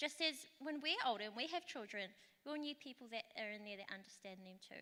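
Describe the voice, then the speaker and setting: In a New Zealand accent, the raised, projected voice has a bright, sharp tone, lively intonation and a moderate pace. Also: woman. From Rotorua, New Zealand. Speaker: local councillor. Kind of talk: conference talk.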